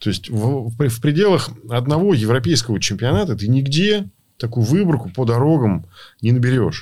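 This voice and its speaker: A man with a medium pitch has a dark, mellow, somewhat breathy tone. His pitch swings very widely. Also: moderate pace. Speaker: rally co-driver. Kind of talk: casual chat.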